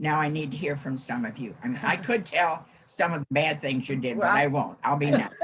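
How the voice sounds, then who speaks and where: A woman with an American accent speaks in a very deep, low pitch with lively intonation. Her voice is somewhat breathy, and her pace is moderate. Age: 80s+. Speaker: former scout leader. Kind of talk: casual chat. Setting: video call.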